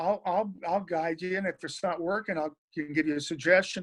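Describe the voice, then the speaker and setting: A man talks in an Oklahoma accent at a moderate pace. His voice is high-pitched. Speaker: record producer and drummer. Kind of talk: interview. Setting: video call.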